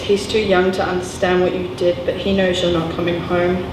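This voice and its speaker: At a moderate pace and medium pitch, a woman talks over noticeable background noise. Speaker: spoken word poet performing a poem. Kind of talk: slam poetry performance. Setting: live at a gallery venue.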